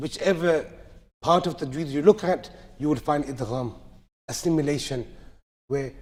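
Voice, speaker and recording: Audible room echo accompanies a man speaking at a moderate pace, fairly high in pitch, with ordinary pitch variation. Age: 30s. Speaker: Quran recitation teacher. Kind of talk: lecture. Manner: loud.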